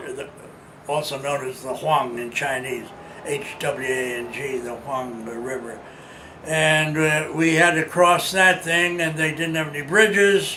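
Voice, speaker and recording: Noticeable background noise behind a man's fairly high voice, ordinary pitch variation, and fairly slow pace. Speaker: war veteran. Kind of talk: interview answer.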